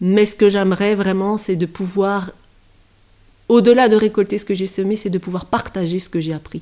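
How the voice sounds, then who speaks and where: A woman speaks at a moderate pace in a medium pitch, her dark, mellow tone delivered with monotone, flat intonation and big swings in loudness. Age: 40s. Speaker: former maths teacher. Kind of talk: personal testimony. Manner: halting, many hesitations.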